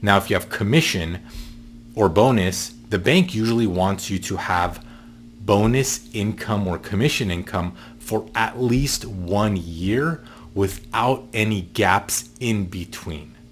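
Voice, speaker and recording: At a very slow pace, a man talks with a fairly low pitch. His pitch variation is ordinary. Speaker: mortgage loan advisor. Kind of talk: tutorial.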